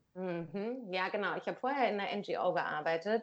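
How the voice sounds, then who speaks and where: A woman talks at a medium pitch, the background around her quiet. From northern Germany, Lower Saxony (Wildeshausen area). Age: 30s. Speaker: podcast guest, NGO worker. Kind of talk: casual chat. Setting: Skype call. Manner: talkative.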